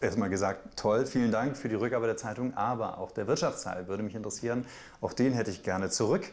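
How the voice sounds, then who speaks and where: This man talks at a fairly quick pace. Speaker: journalist, TV news presenter. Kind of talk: interview answer, casual anecdote to camera. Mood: amused, smiling anecdote. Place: kitchen.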